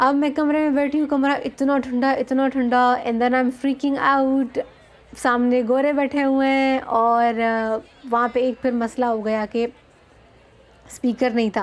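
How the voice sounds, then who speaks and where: Her tone is animated, and her loudness stays very even at a high pitch for a woman. The recording is very clean, with a silent background. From Balochistan, Pakistan. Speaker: vlogger, academic speaker. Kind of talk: casual storytelling vlog. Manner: animated, code-switching Hindi-Urdu and English; hesitant fillers.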